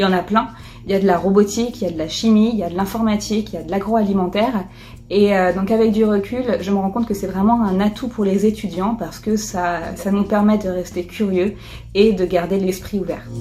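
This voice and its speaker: A woman speaks at a fairly quick pace in a medium pitch, her intonation flat and monotone. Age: 20s. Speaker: engineer and entrepreneur. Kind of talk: testimonial interview. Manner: hesitant, many fillers.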